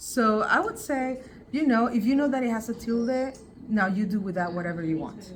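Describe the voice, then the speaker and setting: A woman with a Spanish accent at a moderate pace, fairly high in pitch with ordinary variation, amid audible room echo and noticeable background noise. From Basque Country, Spain. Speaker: linguist, professor. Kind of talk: interview. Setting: on location.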